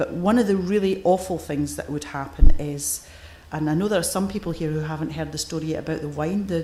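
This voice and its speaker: In a Scottish accent, a woman talks at a fairly quick pace with fairly low pitch and ordinary pitch variation. There is noticeable background noise and audible room echo. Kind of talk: conference keynote. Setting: stage with audience. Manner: forceful.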